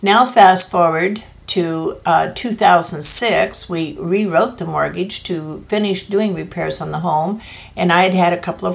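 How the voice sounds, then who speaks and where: Noticeable background noise behind a woman's voice with an American accent. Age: 70s. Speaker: senior citizen telling her story. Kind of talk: personal testimony.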